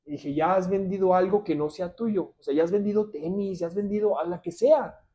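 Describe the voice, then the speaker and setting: A man talks at a moderate pace in a high pitch. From Ciudad Juárez, Mexico. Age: 30s. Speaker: civil engineer. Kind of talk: casual interview.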